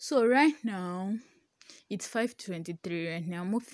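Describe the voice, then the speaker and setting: Ordinary pitch variation with a Nigerian accent. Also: woman. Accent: Nigerian (Yoruba) English. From Nigeria, Ibadan. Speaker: newsletter writer. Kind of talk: casual monologue. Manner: halting.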